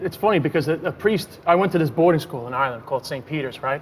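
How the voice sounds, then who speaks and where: This man has a plain, everyday voice with an American accent, a fairly high pitch for a man, and ordinary pitch variation. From New York, Queens. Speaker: comedian. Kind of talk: talk show interview.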